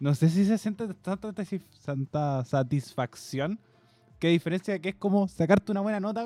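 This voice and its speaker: A man with a Chilean accent speaks at a high pitch with a dark, mellow tone. The sound is dry and close, with no echo. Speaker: podcast co-host. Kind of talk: casual chat.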